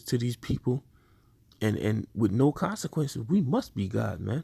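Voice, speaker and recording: A man with vocal fry and a dark, mellow tone speaks at a medium pitch and moderate pace, in a dry, close sound with no echo. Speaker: religious teacher. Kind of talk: sermon. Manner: stuttering.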